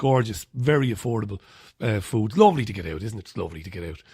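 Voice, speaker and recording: A man with an Irish accent talks at a fairly quick pace in a dark, mellow tone. The recording is very clean, with a silent background. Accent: Irish brogue. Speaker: radio host. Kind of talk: radio show, casual newspaper review. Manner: loud.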